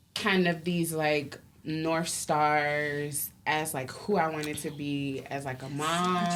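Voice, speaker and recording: A woman's very slow voice at a very deep, low pitch, with fairly even intonation and audible room echo. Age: 30s. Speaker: podcast co-host. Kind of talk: casual chat.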